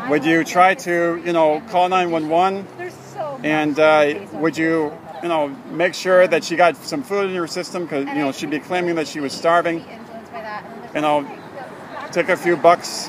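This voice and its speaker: Over noticeable background noise, a man talks fairly slowly in a high voice with long, frequent pauses. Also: fairly even intonation. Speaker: pro-life activist filming street confrontations. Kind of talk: street confrontation questioning. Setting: outdoors on street outside a clinic. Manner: loud; halting, many fillers.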